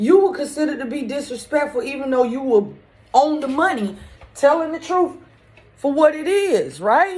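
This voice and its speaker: Loud and high-pitched, a woman speaks at a moderate pace with lively intonation. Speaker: spiritual medium vlogger. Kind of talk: casual monologue.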